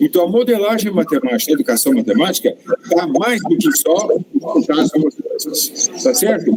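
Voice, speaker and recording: A man's high voice at a fairly slow pace, very wide pitch swings, noticeable background noise. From Brazil, countryside (caipira). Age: 70s. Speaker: professor. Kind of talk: lecture. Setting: auditorium with audience. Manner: halting, with fillers.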